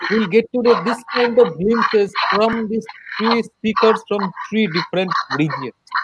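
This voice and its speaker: Talking at a fairly slow pace, a man with a high pitch comes through a dry recording with no echo, though noticeable background noise is present. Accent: Indian. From India. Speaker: college lecturer and event organizer. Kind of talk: formal webinar hosting. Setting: video call. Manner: formal. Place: home room. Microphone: webcam.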